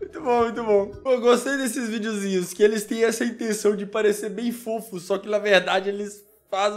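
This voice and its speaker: This man has a high pitch and talks at a moderate pace. The background is quiet. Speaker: YouTuber reacting to videos. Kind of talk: casual vlog outro chat. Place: home room.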